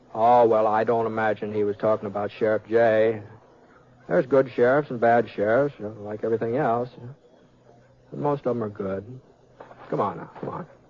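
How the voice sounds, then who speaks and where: A man with ordinary pitch variation and long, frequent pauses, over noticeable background noise. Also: medium pitch for a man, moderate pace. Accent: American. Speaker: actor. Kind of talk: radio drama dialogue.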